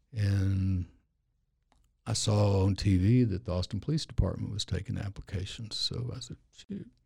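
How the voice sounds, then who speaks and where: A man speaks at a moderate pace, somewhat breathy, with fairly even intonation. His tone is dark and mellow, his pitch fairly low. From Louisiana, then New Mexico from age twelve. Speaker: injury lawyer, former police officer and preacher. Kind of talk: casual interview chat.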